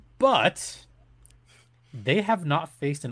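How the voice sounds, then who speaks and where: The recording is very clean with a silent background. A man with vocal fry speaks using very wide pitch swings. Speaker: arena announcer and podcast host. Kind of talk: casual interview chat. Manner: animated, enthusiastic.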